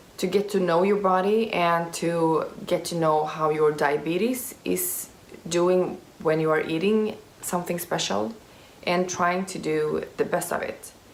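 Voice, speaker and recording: A woman with a fairly low voice and ordinary pitch variation speaks in a room with audible echo. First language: Swedish. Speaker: youtuber with type 1 diabetes. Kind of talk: Q&A vlog. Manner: halting, many fillers.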